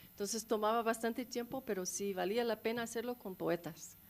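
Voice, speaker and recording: A woman speaks with a non-native accent at a moderate pace. Her pitch sits fairly high and varies in an ordinary way. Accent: non-native Spanish, rusty. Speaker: documentary filmmaker. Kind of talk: panel discussion Q&A. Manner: halting.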